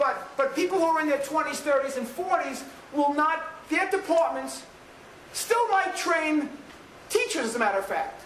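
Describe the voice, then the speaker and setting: Amid noticeable background noise and audible room echo, a man with a New York accent speaks at a moderate pace with an extremely high pitch and lively intonation. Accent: New York American English. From New York City. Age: 50s. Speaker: professor. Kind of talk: lecture.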